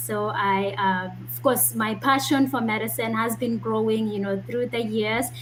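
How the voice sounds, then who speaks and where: A woman speaks at a moderate pace with a medium pitch. Noticeable background noise and audible room echo surround her voice. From Kenya (Kisii, Nyamira). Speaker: medical doctor. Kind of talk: interview.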